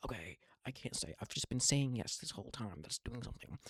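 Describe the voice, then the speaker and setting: Recorded dry and close with no echo, a man at medium pitch speaks with lively intonation and vocal fry. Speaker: vlogger. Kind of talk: casual monologue. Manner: fast; halting, repetitive stammering.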